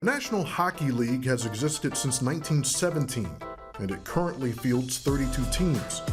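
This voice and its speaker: Music plays in the background as a man speaks. He moves at a fairly quick pace with lively intonation. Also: medium pitch for a man. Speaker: host / interviewer narrating a news feature. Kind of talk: narrated interview feature intro.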